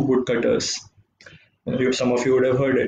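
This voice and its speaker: A man speaks amid light background noise. The room echo is audible. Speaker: tennis coach giving a talk. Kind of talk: motivational talk. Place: home room. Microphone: webcam.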